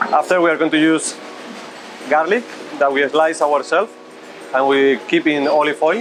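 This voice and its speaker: Over music in the background, a man with a fairly high pitch speaks at very even loudness, with ordinary pitch variation and long, frequent pauses. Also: moderate pace. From Spain, La Rioja. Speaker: chef and restaurant owner. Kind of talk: interview and cooking demonstration. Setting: restaurant kitchen. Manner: halting, many fillers.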